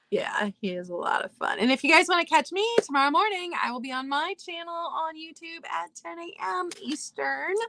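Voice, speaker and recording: A woman's raised, projected voice at a moderate pace, dry and close with no echo. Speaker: vintage seller. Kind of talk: casual chat.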